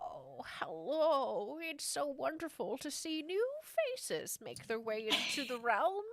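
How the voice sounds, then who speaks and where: In a put-on character voice with a high pitch, the speaker goes at a fairly slow pace with hardly any pauses over light background noise. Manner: warm, welcoming.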